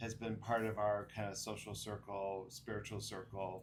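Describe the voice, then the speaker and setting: Against audible room echo, a man with a fairly low pitch speaks fairly slowly in a somewhat breathy, flat monotone. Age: 60s. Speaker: podcast host. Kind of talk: casual chat.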